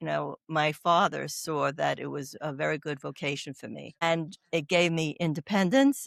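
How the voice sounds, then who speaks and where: A woman's voice at a moderate pace with hardly any pauses and big swings in loudness, in a dry, close sound with no echo on a very clean recording with a silent background. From New York. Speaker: oncology doula, nurse. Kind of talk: interview conversation. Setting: podcast.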